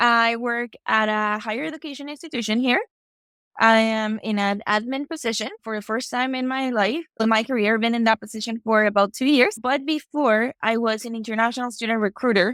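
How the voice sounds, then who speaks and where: A woman with a Mexican accent speaks at a fairly quick pace and a fairly high pitch. Her pitch variation is ordinary, and the recording is very clean with a silent background. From Mexico. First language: Spanish. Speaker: higher education administrator. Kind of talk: podcast interview.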